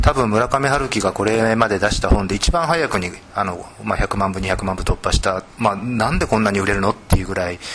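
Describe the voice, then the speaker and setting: Talking at a fairly quick pace with hardly any pauses, a man with a fairly low voice is heard against noticeable background noise. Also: ordinary pitch variation. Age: 40s. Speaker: literary critic and editor. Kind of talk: panel discussion. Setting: bookstore gallery.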